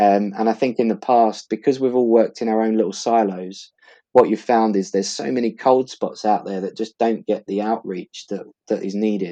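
Man with a slight East London accent, medium pitch, dark, mellow tone, fairly even intonation and moderate pace. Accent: East London, Essex, slight. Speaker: law firm partner. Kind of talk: casual interview.

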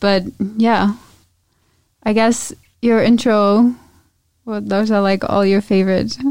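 With a German accent, a woman talks fairly slowly at a medium pitch, using fairly even intonation and long, frequent pauses. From Germany. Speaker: podcast co-host. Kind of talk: casual chat.

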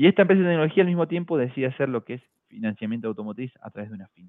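At a very fast pace, a man speaks with lively intonation. His pitch is fairly high for a man. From small town in Argentina. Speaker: fintech executive. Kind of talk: interview.

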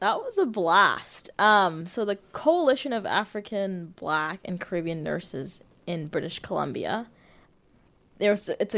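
A woman with a Canadian accent speaks in a plain, everyday voice at medium pitch and a fairly slow pace. The recording is very clean, with a silent background. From Toronto, Canada. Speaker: nursing student and varsity soccer player. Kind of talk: interview.

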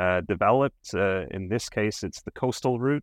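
Against a quiet background, a man with a plain, everyday voice speaks fairly slowly at a fairly low pitch, in a dry, close sound with no echo. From Canada. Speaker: cycling advocate. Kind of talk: interview.

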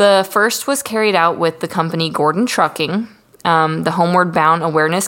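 A woman speaks at a fairly quick pace with a plain, everyday voice, fairly low in pitch, with ordinary pitch variation. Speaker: podcast host. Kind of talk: casual, heavy profanity.

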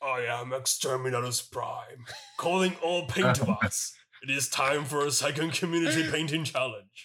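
A man puts on a character voice, pitched fairly high and delivered at a moderate pace. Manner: mock-menacing, theatrical.

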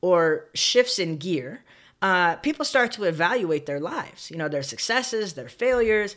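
With an American accent, a woman speaks in an unremarkable speaking voice at medium pitch and a moderate pace, her intonation lively, on a very clean recording with a silent background. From Southern California, San Bernardino. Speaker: podcast host. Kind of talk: solo storytelling monologue. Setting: home office recording, alone.

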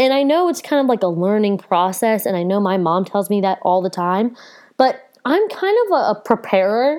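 A woman speaks in an animated tone with lively intonation, at a fairly high pitch and a moderate pace. Her loudness stays very even. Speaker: podcast host. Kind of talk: casual solo chat.

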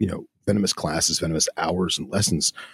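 A man speaks in a somewhat breathy voice, recorded with a dry, close sound and no echo. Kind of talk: casual chat. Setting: video call. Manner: rambling, long-winded.

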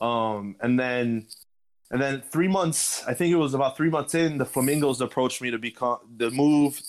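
A man talks fairly quickly in an ordinary speaking voice with a fairly high pitch. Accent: American. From US South, Miami, Florida. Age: 20s. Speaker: esports executive. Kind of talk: interview.

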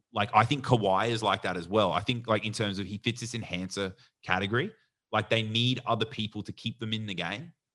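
With an Australian accent, a man speaks in a fairly low pitch with fairly even intonation. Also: fairly quick pace. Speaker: podcast co-host. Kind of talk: casual chat.

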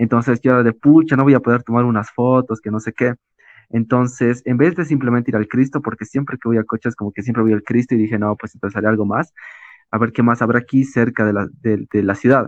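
Intonation stays fairly even while the words rush out very fast. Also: man, medium pitch for a man. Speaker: travel photographer. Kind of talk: casual chat.

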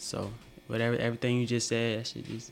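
Music plays in the background behind a man's voice. He speaks at a medium pitch with monotone, flat intonation. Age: 20s. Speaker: aspiring truck driver. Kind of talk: casual chat.

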